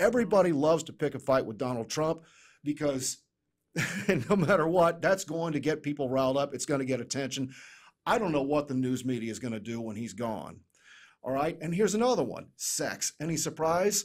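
Fairly high-pitched and lively in intonation, a man talks at a fairly quick pace over a quiet background. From United States. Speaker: business consultant; podcast guest. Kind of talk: casual chat. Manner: joking. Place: studio. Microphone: studio mic.

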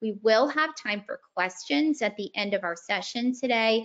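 Against near silence, the words come at a moderate speed. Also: woman. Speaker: webinar host. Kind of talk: housekeeping announcement. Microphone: video call.

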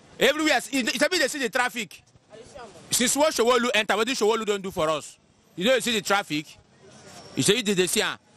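A man uses a raised, projected voice with lively intonation. The sound is dry with no echo. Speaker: interviewee. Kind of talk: interview answer. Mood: complaining, frustrated about economy. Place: street. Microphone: handheld.

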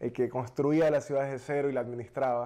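Over a quiet background, a man's voice sits at a fairly high pitch with a dark, mellow tone. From Ecuador. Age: 30s. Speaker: politician and restaurant entrepreneur; politician. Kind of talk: interview. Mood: relaxed, smiling, animated. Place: studio. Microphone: lapel.

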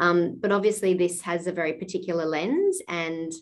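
A woman speaks in an Australian accent with a fairly low pitch. The background is quiet. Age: 40s. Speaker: arts funding officer. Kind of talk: webinar Q&A. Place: home room. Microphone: video call.

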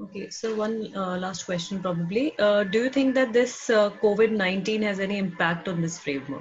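Moderately paced, a woman speaks with hardly any pauses and ordinary pitch variation. Light background noise can be heard. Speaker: webinar moderator. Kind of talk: webinar Q&A moderation. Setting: video call. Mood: polite, calm. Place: home room. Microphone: earbuds.

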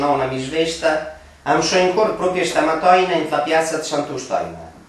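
There is audible room echo as a man with a fairly high pitch speaks at a moderate pace, using ordinary pitch variation. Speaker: dialect poet. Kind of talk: poetry reading in Romagnolo dialect. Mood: wry, ironic Christmas satire. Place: home room. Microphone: camera far.

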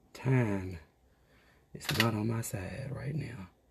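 A man's fairly low voice, animated in tone, with very wide pitch swings and noticeable background noise. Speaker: beauty vlogger. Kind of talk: casual get-ready-with-me vlog.

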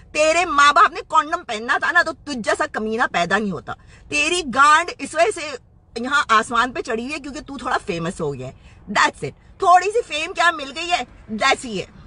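The voice is raised and projected. The sound is dry with no echo. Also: woman. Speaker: social media commentator. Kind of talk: angry rant to camera. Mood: angry, scornful. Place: car. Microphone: phone near.

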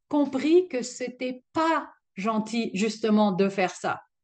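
A woman speaks with lively intonation. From Alsace, France. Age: 60s. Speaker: retired union adviser. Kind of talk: interview answer.

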